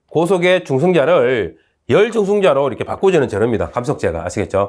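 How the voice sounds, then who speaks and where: In a Gyeongsang accent, a man talks in a high pitch with very wide pitch swings, recorded very cleanly against a silent background. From South Korea, Gyeongsang (Uljin, North Gyeongsang). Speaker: university professor. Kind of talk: lecture. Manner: casual, halting with fillers.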